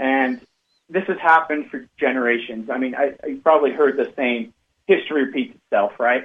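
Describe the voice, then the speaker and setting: A man with an unremarkable speaking voice talks at a moderate pace in a medium pitch with fairly even intonation. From northern Utah, Cache Valley. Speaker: financial advisor. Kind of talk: radio interview.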